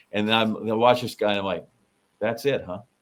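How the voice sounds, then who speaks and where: A man speaks with medium pitch and fairly even intonation. He has a normal speaking voice and a fairly quick pace. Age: 60s. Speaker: podcast co-host. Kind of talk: casual chat.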